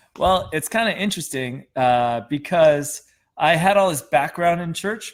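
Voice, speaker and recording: Over a silent background in a very clean recording, a man with an American accent speaks in a fairly high voice with lively intonation. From Wisconsin, US Midwest. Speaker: pastor. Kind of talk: testimony.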